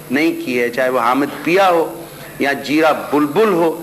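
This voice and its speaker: A man's fairly high-pitched voice competes with noticeable background noise. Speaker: interviewer. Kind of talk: interview questions.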